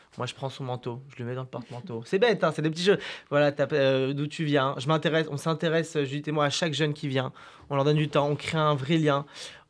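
His pitch is fairly high for a man. The man's intonation is fairly even. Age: young. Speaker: youth events organiser. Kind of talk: radio interview. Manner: casual, hesitant.

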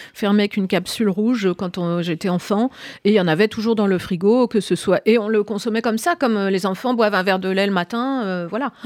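A woman with an unremarkable speaking voice talks at a fairly quick pace, at medium pitch with ordinary pitch variation, in a dry, close sound with no echo. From Brittany, France. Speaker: cookbook author. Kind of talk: radio interview.

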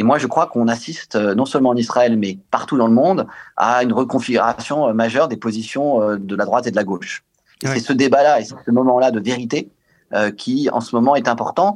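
With an unremarkable speaking voice, a man of medium pitch talks at a fairly quick pace with ordinary pitch variation against a quiet background. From Israel. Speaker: politician. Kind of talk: radio panel discussion.

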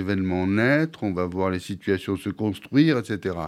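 Male speech, very cleanly recorded against total silence. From Marseille, southern France. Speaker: writer and teacher on spiritual practice. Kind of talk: radio interview. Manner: halting, with many repetitions.

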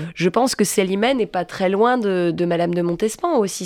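A woman's fairly low-pitched voice at a moderate pace with ordinary pitch variation, an ordinary speaking voice. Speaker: stage actress and director. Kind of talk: casual chat.

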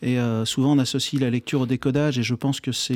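Dark, mellow tone from a man at medium pitch, moving at a fairly quick pace. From France. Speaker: neuroscience researcher and author. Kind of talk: radio interview.

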